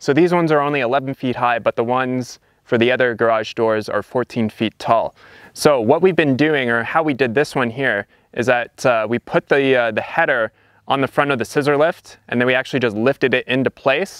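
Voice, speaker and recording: Against a quiet background with a dry sound and no echo, a man talks at a fairly quick pace with ordinary pitch variation. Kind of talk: tutorial. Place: open country.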